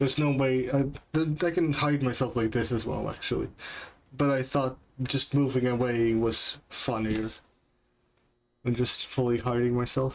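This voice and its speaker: The delivery keeps fairly even intonation and very even loudness, broken by long, frequent pauses. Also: man, medium pitch for a man, moderate pace. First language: not English. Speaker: game developer streamer. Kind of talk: live stream chat while coding. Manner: halting, many fillers.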